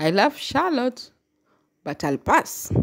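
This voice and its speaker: A woman's voice comes through on a very clean recording with a silent background. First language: not English (English is third language). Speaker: YouTuber commenting on BL and GL series. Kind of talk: casual vlog commentary.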